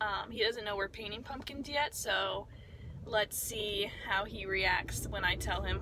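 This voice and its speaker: Dry, echo-free female voice against noticeable background noise. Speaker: vlogger. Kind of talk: casual vlog chat. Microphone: phone near.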